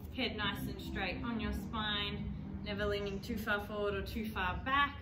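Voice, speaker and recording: A woman talks at a moderate pace while clear music sounds in the background. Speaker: pilates instructor. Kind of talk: exercise class instruction. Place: gym. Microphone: camera far.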